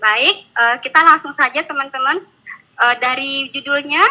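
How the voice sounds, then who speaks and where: A woman speaks in a high pitch. Her voice is raised and projected. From Java, Indonesia (Yogyakarta). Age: 20s. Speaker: network marketing distributor. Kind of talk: online training presentation. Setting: online webinar. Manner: casual, with many fillers.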